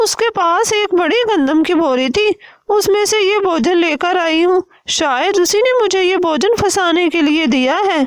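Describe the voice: This is a woman's cartoonish character voice, extremely high in pitch. She speaks at a moderate pace.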